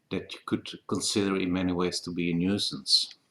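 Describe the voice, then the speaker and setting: Man with a Dutch accent at a fairly slow pace. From Netherlands. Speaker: political commentator. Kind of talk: open video letter. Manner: halting.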